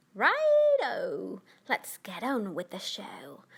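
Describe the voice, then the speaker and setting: Using a put-on character voice, a woman speaks at a very slow pace. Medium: read story. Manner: polite, charming.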